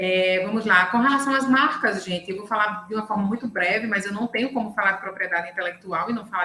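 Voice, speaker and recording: A woman with a medium pitch and ordinary pitch variation speaks at a moderate pace while noticeable background noise carries on. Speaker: lawyer specialising in intellectual property. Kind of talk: online lecture. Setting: video call live stream.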